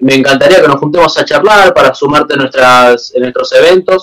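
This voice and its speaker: Someone speaks with an Argentine accent and ordinary pitch variation. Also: man. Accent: Rioplatense Argentine Spanish. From Argentina, Buenos Aires. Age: 20s. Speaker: techno DJ. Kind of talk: casual interview chat. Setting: video call.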